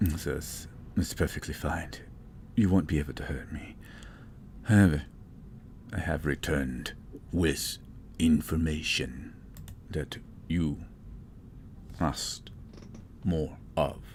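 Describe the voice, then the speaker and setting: Using a put-on character voice with a very deep, low pitch, a man talks at a fairly slow pace with long, frequent pauses over clear background noise. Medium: actual play. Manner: calm, measured.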